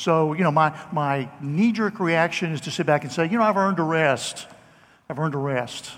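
A man speaks at a moderate pace in a plain, everyday voice, fairly high in pitch. The recording is very clean, with a silent background. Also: ordinary pitch variation. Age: 60s. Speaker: pastor. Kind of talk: sermon. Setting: church.

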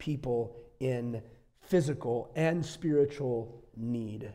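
A man with an American accent speaks at a medium pitch in a dark, mellow, somewhat breathy tone, with audible room echo. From US Midwest, northeastern Wisconsin. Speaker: visiting pastor. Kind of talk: sermon.

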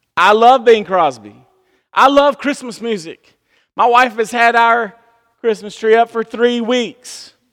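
With a Southern US accent, a man speaks at a fairly slow pace in an animated tone and an extremely high pitch. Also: ordinary pitch variation. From US South. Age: 30s. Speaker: pastor. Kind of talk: sermon. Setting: church.

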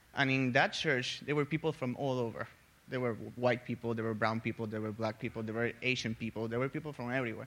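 On a very clean recording with a silent background, a man talks at a very fast pace in a medium pitch. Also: fairly even intonation. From Puerto Rico. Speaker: church member sharing experience. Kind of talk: personal testimony in group discussion.

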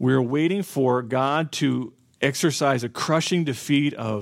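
A man with an American accent and a fairly high voice speaks with ordinary pitch variation in a plain, everyday voice, on a very clean recording with a silent background. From US South, southwestern Florida. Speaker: pastor. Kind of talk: sermon.

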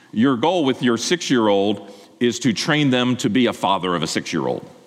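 A man's medium-pitched voice at a fairly quick pace, with very wide pitch swings and noticeable background noise. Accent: American. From Pennsylvania, Lancaster County. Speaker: pastor. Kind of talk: sermon.

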